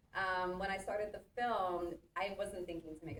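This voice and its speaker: A woman's voice with audible room echo. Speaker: interdisciplinary artist. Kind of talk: artist talk conversation. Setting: theatre with live audience, no working mic. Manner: loud, projecting teacher voice.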